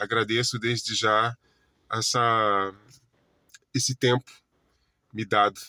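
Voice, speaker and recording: At a very slow pace, a man speaks at a medium pitch with fairly even intonation and a bright, sharp tone, on a very clean recording with a silent background. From Brazil, Florianópolis, Santa Catarina. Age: 40s. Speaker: holistic therapist. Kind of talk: casual self-introduction monologue. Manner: halting, many self-corrections and fillers.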